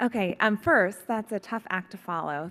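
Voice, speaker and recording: A woman speaks with ordinary pitch variation in a very clean recording with a silent background. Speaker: physician speaking at a summit. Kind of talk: conference talk. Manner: fast.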